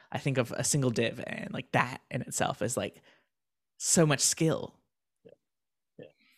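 With an American accent, a man speaks at a moderate pace in a fairly high, somewhat breathy voice with lively intonation and long, frequent pauses, the sound dry and close with no echo. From Florida. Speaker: software developer and streamer. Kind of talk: casual interview.

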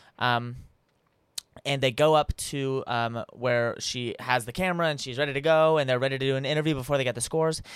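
Fairly quick and animated, a man talks at a medium pitch. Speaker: podcast host. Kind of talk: casual chat.

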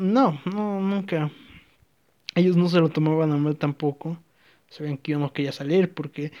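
With a Mexican accent, a man speaks at a fairly slow pace in a fairly high, dark and mellow voice, using ordinary pitch variation and long, frequent pauses, with a dry, close sound and no echo. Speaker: podcaster. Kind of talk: casual monologue. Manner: rambling, halting.

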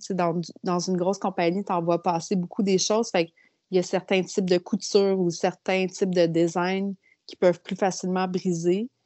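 A woman in a Quebec accent speaks at a fairly slow pace in a medium pitch. Her intonation is monotone and flat. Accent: Québécois French. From Quebec City, Quebec. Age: 30s. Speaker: shoe designer and entrepreneur. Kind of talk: interview.

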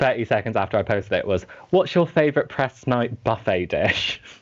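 A man is speaking. His pace is moderate. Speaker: podcast host. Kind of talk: casual interview chat.

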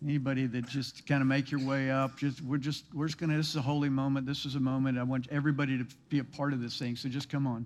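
A man's medium-pitched voice at a very fast pace, hardly any pauses, music in the background. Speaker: founding pastor. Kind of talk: sermon with pep-talk charge to successor. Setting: church. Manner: warm, animated, encouraging.

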